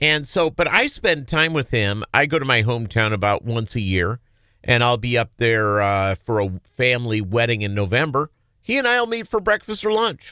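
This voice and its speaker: On a very clean recording with a silent background, a man with an American accent speaks at a medium pitch in a bright, sharp tone at a very even loudness. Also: lively intonation, moderate pace, dry, close sound with no echo. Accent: slight Minnesota accent, mostly dropped. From Minnesota (Lake Minnetonka). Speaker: talk radio host. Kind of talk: casual chat.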